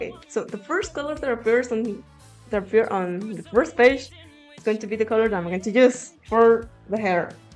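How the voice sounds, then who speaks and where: With music playing in the background, a woman talks in a fairly high pitch. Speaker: digital artist. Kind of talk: casual talk to viewers.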